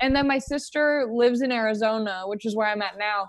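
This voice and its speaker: In a normal speaking voice, a woman with a fairly high pitch talks at a moderate pace with ordinary pitch variation against a quiet background. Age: 20s. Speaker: stand-up comedian. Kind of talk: casual chat.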